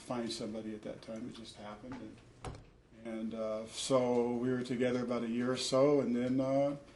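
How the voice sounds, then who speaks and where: A man speaks with an American accent. His intonation is fairly even, and there is audible room echo. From US Pacific Northwest (Portland, Oregon). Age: 60s. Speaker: parent testifying in family court. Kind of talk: court testimony. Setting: courtroom. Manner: halting, many fillers.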